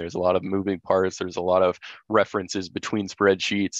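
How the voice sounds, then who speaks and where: A man's very deep, low, monotone, flat voice in a dry, close sound with no echo and a quiet background. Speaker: water technology presenter. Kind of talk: webinar presentation. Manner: halting, many filler words.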